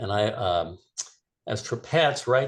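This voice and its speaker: A man with a fairly low pitch and a somewhat breathy voice talks at a moderate pace. His pitch varies in an ordinary way over a quiet background. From South Florida. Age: 70s. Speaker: author. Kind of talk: classroom Q&A interview. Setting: video call. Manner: halting with frequent fillers and restarts.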